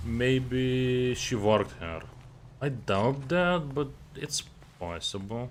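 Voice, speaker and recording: Speaking very slowly with a Lithuanian accent, a man uses lively intonation and takes long, frequent pauses. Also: medium pitch for a man. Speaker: gaming streamer. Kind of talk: live gameplay commentary. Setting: live stream.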